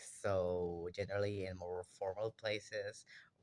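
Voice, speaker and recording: He talks at a fairly slow pace. A man with a Spanish accent. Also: very clean recording, silent background. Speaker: university student. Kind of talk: class assignment monologue. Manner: halting.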